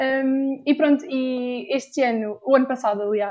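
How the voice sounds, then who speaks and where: Speaking with a European Portuguese accent, a woman talks at a fairly slow pace with fairly even intonation. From Portugal. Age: 20s. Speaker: university student and volunteer. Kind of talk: casual interview.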